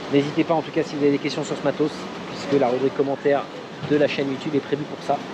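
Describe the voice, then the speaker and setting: Against noticeable background noise, a man rattles off his words very fast. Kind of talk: casual vlog chat. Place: street. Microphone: phone near.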